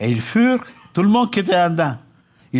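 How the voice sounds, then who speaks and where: This man's voice is high-pitched. It swings very widely in pitch. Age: 70s. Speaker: pastor. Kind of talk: sermon.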